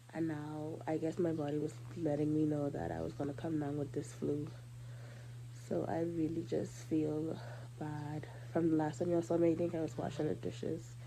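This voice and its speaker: A woman's very deep, low voice with vocal fry, a dark, mellow tone, ordinary pitch variation and a moderate pace. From Bahamas. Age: 20s. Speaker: makeup artist. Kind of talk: casual vlog talk to camera.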